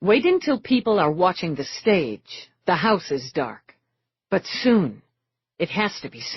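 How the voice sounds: Against quiet surroundings, a natural reading voice moves with lively intonation.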